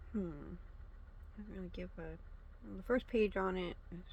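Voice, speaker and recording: The speech moves at a fairly slow pace with fairly even intonation and vocal fry. Audible room echo surrounds it. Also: woman. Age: 30s. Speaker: channel host reviewing FBI files. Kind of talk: casual document read-through. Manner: halting, many fillers. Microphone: no proper mic, may be quiet.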